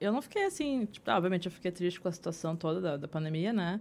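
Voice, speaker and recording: Very clean recording with a silent background, featuring a woman at a fairly low pitch. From southern Brazil, Porto Alegre. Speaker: illustrator and visual artist. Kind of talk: interview conversation. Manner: halting, many fillers.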